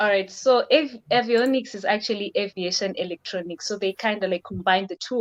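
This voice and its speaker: Talking at a fairly quick pace with hardly any pauses, a woman with a medium-pitched voice comes through in a dry, close sound with no echo, an unremarkable speaking voice. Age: 20s. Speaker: aircraft maintenance technician. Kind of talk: interview.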